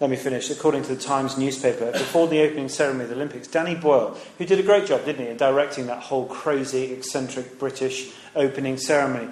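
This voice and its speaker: A man with an English accent speaks at a fairly quick pace and medium pitch. Room echo is audible, and there is noticeable background noise. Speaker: preacher. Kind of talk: sermon.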